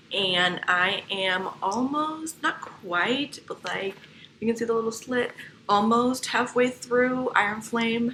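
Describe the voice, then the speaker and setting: Very slow speech from a woman, fairly high in pitch, ordinary in pitch variation, over noticeable background noise. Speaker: book vlogger. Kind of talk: casual vlog chat. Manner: whispering.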